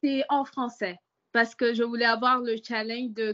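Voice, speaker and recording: A woman's fairly high, bright, sharp voice with an English accent, monotone and flat, at a fairly slow pace against a quiet background. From English- and French-speaking country. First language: English (speaking French). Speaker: prospective student. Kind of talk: webinar question. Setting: video call webinar.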